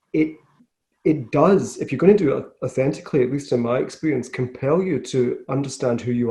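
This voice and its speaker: A man's dark, mellow, somewhat breathy voice in a west of Scotland accent, at a fairly quick pace. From Scotland, west coast (Glasgow area). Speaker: business founder. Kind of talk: interview.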